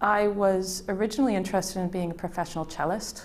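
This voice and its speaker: A woman's monotone, flat delivery in an American accent, with audible room echo. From USA, Midwest. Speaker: IP and innovation consultant. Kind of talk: career interview testimony. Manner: hesitant, with fillers.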